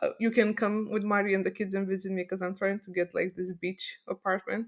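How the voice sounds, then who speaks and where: A woman talks at a fairly quick pace. Her pitch is medium and her intonation monotone and flat. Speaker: podcast co-host. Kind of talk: casual chat. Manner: loud.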